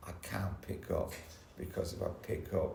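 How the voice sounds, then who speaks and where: Fairly slow speech from a man amid audible room echo. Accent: London. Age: 60s. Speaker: recovering addict sharing at a support meeting. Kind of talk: testimony. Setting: church hall meeting with audience. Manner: halting, repetitive.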